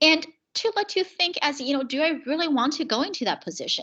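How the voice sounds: A woman's high-pitched voice with a fairly bright tone and a fairly quick pace.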